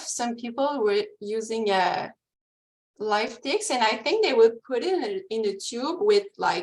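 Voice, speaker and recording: With a Quebec accent, a woman talks at a fairly slow pace in a high pitch that swings very widely. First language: French. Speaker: ecology researcher. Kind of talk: webinar presentation and Q&A. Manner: halting, many fillers.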